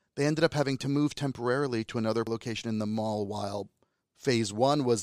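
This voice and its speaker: Using a New Jersey accent, a man talks at a very fast pace with a medium pitch. The recording is very clean with a silent background and a dry, close sound with no echo. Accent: American, New Jersey. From New Jersey, US. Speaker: filmmaker. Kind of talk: interview.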